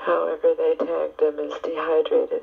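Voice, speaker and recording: Speech comes at a fairly slow pace through noticeable background noise. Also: woman. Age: 20s. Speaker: Red Cross volunteer. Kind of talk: personal recorded letter to family. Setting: home cassette tape recording. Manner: candid, open.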